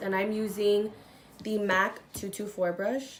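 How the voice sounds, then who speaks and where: A woman speaks with fairly even intonation. There is audible room echo. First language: not English. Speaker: beauty youtuber. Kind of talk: makeup tutorial chat.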